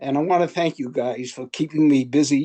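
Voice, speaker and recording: With a Brooklyn accent, a man talks at a fairly high pitch in a dry, close sound with no echo and a quiet background. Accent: New York, Brooklyn. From Brooklyn, New York. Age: 80s+. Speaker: listener, baseball fan. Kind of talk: casual remarks on video call. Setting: video call.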